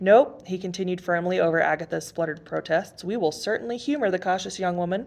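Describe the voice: The pitch shifts in an ordinary way through this plain reading aloud.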